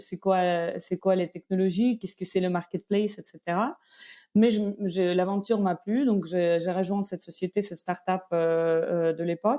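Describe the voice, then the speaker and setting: Speaking at a moderate pace with fairly even intonation, a woman with a Belarusian accent has a medium pitch and a dark, mellow tone, captured in a very clean recording with a silent background. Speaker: tech company executive. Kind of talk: interview. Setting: podcast. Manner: hesitant, many fillers.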